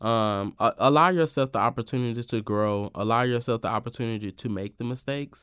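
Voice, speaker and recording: A man with a Southern US accent speaks at a medium pitch with ordinary pitch variation, in a very clean recording with a silent background. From US South. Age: 20s. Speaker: event host and influencer. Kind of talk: casual interview. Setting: radio studio. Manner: talkative.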